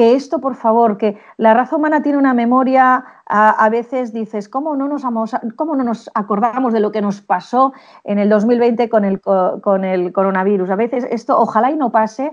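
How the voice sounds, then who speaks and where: Here is a normal speaking voice at a moderate pace. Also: woman, quiet background. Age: middle-aged. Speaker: sales consultant and speaker. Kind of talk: interview.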